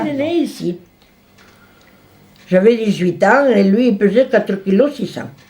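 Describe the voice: A woman's dark, mellow tone, with audible room echo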